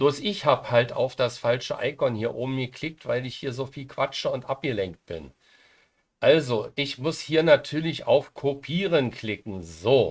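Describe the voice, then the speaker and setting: The speech moves at a fairly slow pace with big swings in loudness, in a very clean recording with a silent background. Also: man. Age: 60s. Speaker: software tutorial YouTuber. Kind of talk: screen-recorded tutorial. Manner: hesitant, many fillers.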